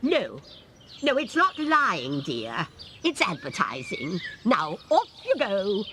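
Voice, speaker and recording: A cartoonish character voice at a fairly high pitch moves at a very slow pace. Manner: brisk, authoritative.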